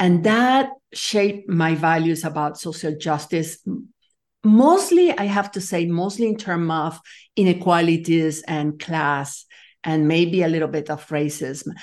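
This woman has a fairly low pitch and a Spanish accent, with ordinary pitch variation. She talks at a fairly slow pace against a quiet background. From Nicaragua. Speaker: leadership coach and complexity scientist. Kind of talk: interview.

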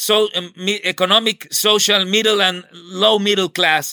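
A man's raised, projected voice with a Colombian accent, bright and sharp in tone, at a very slow pace, in a dry, close sound with no echo. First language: Spanish. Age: 40s. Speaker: activist. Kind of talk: interview. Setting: video call. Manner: halting.

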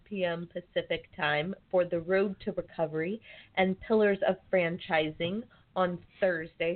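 With an American accent, a woman talks in a normal speaking voice at a medium pitch and a fairly slow pace. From Arizona (Phoenix). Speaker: radio show producer. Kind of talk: casual chat.

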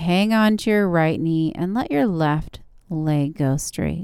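Her tone calm and soothing, a woman speaks at a fairly low pitch with ordinary pitch variation. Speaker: yoga instructor. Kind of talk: guided yoga class with step-by-step pose cues and breath prompts. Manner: calm, slow, soothing coaching with repeated gentle encouragements like good and breathe; relaxed, informal, slightly halting with fillers and self-corrections.

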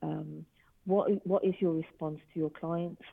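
This woman speaks with a British accent in a fairly low pitch. Her pitch varies an ordinary amount. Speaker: business owner, forensic technology company. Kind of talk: casual interview.

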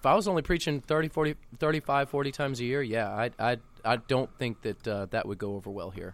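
Very fast pace and lively intonation on a very clean recording with a silent background. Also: man, medium pitch for a man. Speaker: pastor. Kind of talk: casual chat. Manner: verbose.

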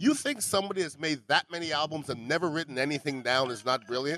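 This man speaks very fast, his pitch fairly high. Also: dry, close sound with no echo. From Montreal, Canada. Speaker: podcast host. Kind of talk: casual chat. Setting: restaurant.

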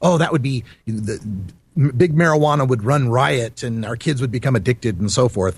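A man with an American accent sounds somewhat breathy, his intonation lively. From Idaho, US. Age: 40s. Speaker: cannabis activist and radio host. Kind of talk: casual interview.

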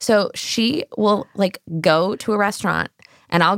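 Using an unremarkable speaking voice with an American accent, a woman of medium pitch talks with lively intonation in a dry, close sound with no echo, on a very clean recording with a silent background. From US, Los Angeles San Fernando Valley. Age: 30s. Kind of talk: casual chat.

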